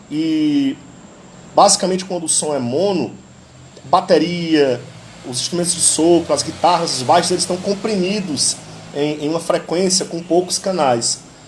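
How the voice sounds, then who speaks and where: Over noticeable background noise, a man with a high pitch speaks at a moderate pace, using ordinary pitch variation and long, frequent pauses. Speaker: live stream host, history teacher and amateur guitarist. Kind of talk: casual live stream talk about music. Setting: live stream.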